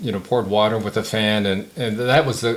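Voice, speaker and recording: The speaker talks in an American accent with ordinary pitch variation. Noticeable background noise runs underneath. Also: man. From San Diego, California. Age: 70s. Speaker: war veteran. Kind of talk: oral history interview. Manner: halting, many fillers.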